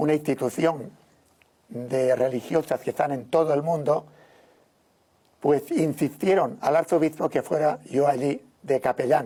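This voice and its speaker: Speaking at a fairly slow pace with long, frequent pauses, a man has a fairly high pitch and a dark, mellow tone. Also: ordinary pitch variation. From Spain, Valencia region (Algemesí). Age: 70s. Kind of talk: interview testimony.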